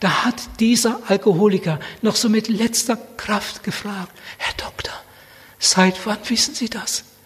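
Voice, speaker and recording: Speaking at a fairly slow pace, a man with a high-pitched voice sounds passionate while keeping his intonation fairly even. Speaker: preacher. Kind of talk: sermon. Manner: passionate, urgent, fervent preaching; repetitive emphatic delivery with direct appeals.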